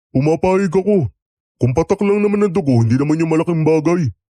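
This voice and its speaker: Using a put-on character voice, a man speaks at a fairly high pitch and a fairly quick pace. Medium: audio drama.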